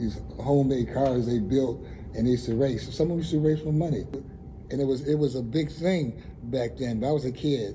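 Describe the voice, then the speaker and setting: A man talks fairly quickly with an American accent and ordinary pitch variation. Audible room echo and noticeable background noise are present. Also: medium pitch for a man. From US Northeast (Buffalo, New York, East Side). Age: 70s. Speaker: community elder. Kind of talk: oral history interview. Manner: conversational, hesitant with fillers.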